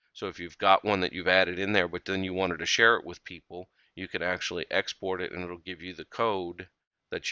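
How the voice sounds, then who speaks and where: In a dry, close sound with no echo and a quiet background, a man speaks at a very deep, low pitch. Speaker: software tutorial presenter. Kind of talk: screencast tutorial. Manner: fast; casual with filler words.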